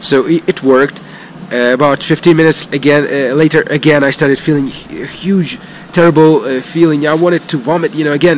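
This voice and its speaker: Light background noise sits behind a man's voice. He talks at a moderate pace with ordinary pitch variation. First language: not English (non-native speaker). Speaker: cycling vlogger. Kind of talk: casual vlog monologue. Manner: halting, many fillers. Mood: relaxed storytelling. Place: street. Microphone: phone near.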